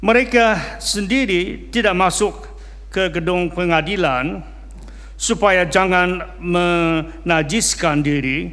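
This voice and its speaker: There is audible room echo around this man. He speaks at a very slow pace. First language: not Indonesian (speaking Indonesian). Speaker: pastor. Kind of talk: sermon; reading aloud. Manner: halting, frequent fillers.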